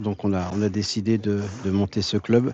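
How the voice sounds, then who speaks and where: In a fairly low pitch, a man speaks with a monotone, flat intonation. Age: 60s. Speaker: pétanque club founder and event organiser. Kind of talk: interview testimony. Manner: talkative, hesitant with repetitions.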